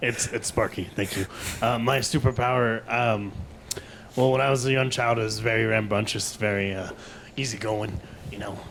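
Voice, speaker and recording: Using a put-on, gruff character voice, a man speaks at a moderate pace and medium pitch. He takes long, frequent pauses, with clear background noise behind him. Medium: audio drama.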